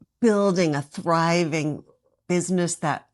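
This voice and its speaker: A woman speaks fairly slowly in a fairly low, unremarkable speaking voice. The recording is very clean, with a silent background. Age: 50s. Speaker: former business owner. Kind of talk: casual talk to camera.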